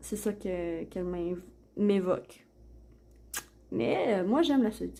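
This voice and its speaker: A woman's voice with a dark, mellow tone. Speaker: oracle card reader, YouTuber. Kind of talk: product unboxing and card reading. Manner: hesitant, many fillers.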